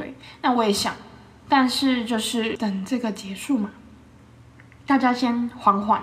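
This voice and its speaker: A woman with a Taiwanese accent, fairly high pitch, ordinary pitch variation, an animated tone and a moderate pace, with audible room echo. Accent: Taiwanese Mandarin. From Taiwan, Yilan. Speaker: podcast host, food reviewer. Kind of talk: casual food review monologue.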